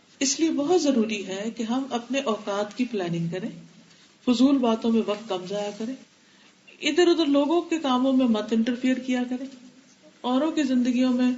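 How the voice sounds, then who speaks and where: The woman's voice sits high in pitch, and her pitch varies in an ordinary way. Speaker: Islamic scholar giving a religious lecture. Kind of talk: religious lecture.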